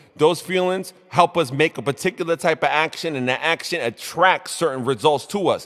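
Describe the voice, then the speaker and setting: A man speaks with a New York accent and an animated tone. His pitch varies in an ordinary way. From New York, Brooklyn. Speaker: motivational show host. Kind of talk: motivational talk. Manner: mumbling.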